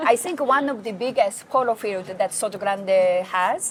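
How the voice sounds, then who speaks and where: Against noticeable background noise, a woman speaks at a moderate pace in a fairly high pitch with ordinary pitch variation. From Japan. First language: Japanese. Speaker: hospitality and PR professional. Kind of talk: interview. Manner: halting.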